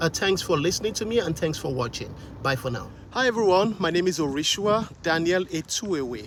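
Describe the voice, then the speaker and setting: A man with a Nigerian accent, high-pitched for a man, at a fairly quick pace over noticeable background noise. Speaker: vlogger. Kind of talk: casual vlog talk to camera. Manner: hesitant, many fillers.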